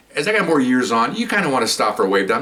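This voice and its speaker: Very wide pitch swings mark a man's very fast speech at medium pitch, set against noticeable background noise. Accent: American. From East Los Angeles, California. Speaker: retired police officer. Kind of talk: storytelling. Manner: casual, repetitive.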